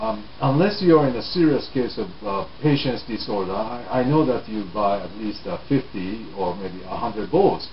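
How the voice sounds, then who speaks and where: Over noticeable background noise and audible room echo, a man speaks at a moderate pace with hardly any pauses. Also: medium pitch for a man, lively intonation. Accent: Japanese. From Japan. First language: Japanese. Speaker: English learning teacher. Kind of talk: talk to camera on language learning.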